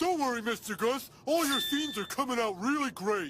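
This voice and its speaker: A man does a cartoonish character voice at an extremely high pitch, upbeat in tone and at a fairly quick pace. His loudness stays very even throughout. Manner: upbeat, goofy.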